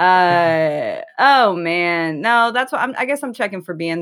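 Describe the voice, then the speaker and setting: A plain, everyday voice with an American accent carries lively intonation. The recording is very clean, with a silent background and a dry, close sound with no echo. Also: woman. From Chicago. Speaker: podcast co-host, comedy writer. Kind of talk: casual chat.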